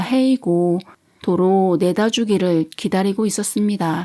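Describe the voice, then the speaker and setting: Very slowly, a woman with a medium pitch and a dark, mellow tone speaks with ordinary pitch variation on a very clean recording with a silent background. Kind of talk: sleep story. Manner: soft-spoken, calm.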